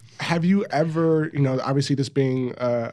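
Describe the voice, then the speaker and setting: This is an ordinary speaking voice with an American accent. The pace is moderate and the pitch variation ordinary. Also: man. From Los Angeles. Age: 30s. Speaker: podcast host, former football player, TV producer. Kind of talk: casual chat.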